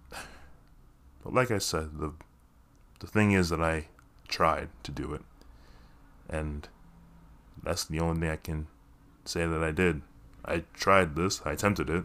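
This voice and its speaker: Very deep and low, a man speaks at a fairly slow pace with ordinary pitch variation and long, frequent pauses. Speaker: podcaster and actor. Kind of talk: casual solo monologue. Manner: self-deprecating, laughs often.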